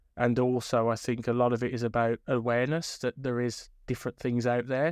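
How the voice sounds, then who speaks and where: A man with a Birmingham accent speaks at a moderate pace in a medium pitch, his intonation monotone and flat. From inner city Birmingham, England. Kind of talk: interview. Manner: hesitant, many fillers.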